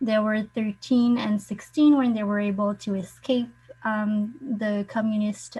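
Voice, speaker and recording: With a French accent and a somewhat breathy voice, a woman talks at a fairly slow pace with ordinary pitch variation. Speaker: participant sharing family refugee history. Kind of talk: online forum talk. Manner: halting.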